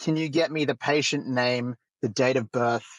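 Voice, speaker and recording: Speaking in an Australian accent, a man talks at a moderate pace with a medium pitch and ordinary pitch variation. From rural Australia. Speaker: roundtable facilitator, AI founder. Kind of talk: roundtable discussion.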